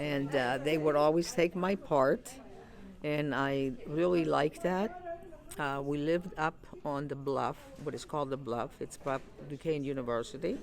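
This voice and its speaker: At a moderate pace, a woman with a very deep, low pitch speaks with ordinary pitch variation over noticeable background noise. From Greece, Patras, moved to Pittsburgh at 11. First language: Greek. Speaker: retired Greek school teacher, community member. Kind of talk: interview. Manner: halting, many fillers.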